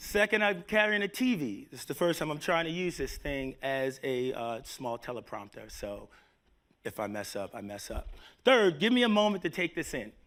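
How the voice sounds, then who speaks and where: A man with a New York accent and very wide pitch swings. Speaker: tech company executive. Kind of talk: conference talk. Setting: stage with live audience.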